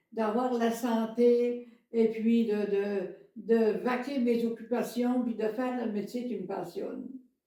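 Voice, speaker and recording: Speaking very slowly in a fairly high pitch, a woman keeps a monotone, flat intonation amid audible room echo. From Quebec, Beauce region. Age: 80s+. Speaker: antique shop owner. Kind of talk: casual interview chat. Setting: podcast recording. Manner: halting, many fillers and repetitions.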